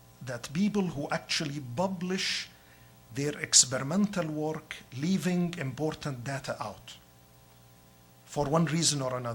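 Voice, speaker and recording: A somewhat breathy man with fairly high pitch speaks fairly slowly, leaving long, frequent pauses, with ordinary pitch variation. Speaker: professor. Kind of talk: lecture. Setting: hospital grand rounds talk. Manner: halting, with fillers.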